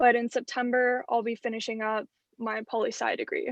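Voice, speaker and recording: A woman speaks at a high pitch. Her intonation is fairly even. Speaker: university student. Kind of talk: class introduction.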